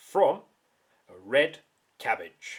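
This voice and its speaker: With a British accent, a man is talking. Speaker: science teacher. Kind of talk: tutorial. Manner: quieter; loud.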